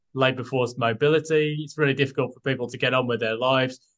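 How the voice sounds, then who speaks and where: A man with a British accent at a medium pitch. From UK. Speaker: property buyer's agent and analyst. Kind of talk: casual interview chat.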